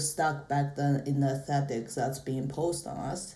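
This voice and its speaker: Audible room echo surrounds a woman whose very deep, low pitch comes with a dark, mellow tone and a somewhat breathy quality. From China. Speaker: podcast guest. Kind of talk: casual chat.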